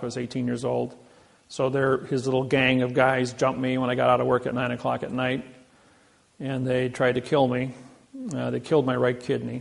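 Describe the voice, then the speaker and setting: A man speaks in a Midwestern American accent at medium pitch. His intonation is monotone and flat, and his pace is fairly quick. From US Midwest, Indiana. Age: 60s. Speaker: seminar lecturer. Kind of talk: lecture; personal story.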